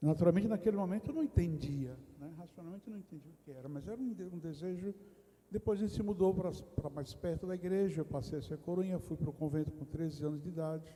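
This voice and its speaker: A high-pitched man at a very fast pace, with ordinary pitch variation and big swings in loudness. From Brazil, interior of Rio Grande do Norte (Northeast). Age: 60s. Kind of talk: testimony. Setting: retreat round-table discussion in a parish.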